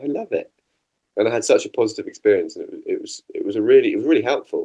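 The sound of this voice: A man speaks with a slightly mellow tone. His pitch moves in big swings.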